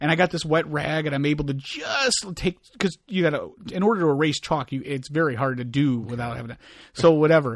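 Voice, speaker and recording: A man's fairly high-pitched voice at a fairly quick pace, with ordinary pitch variation. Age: 40s. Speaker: podcast host. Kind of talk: casual chat. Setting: home recording. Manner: halting.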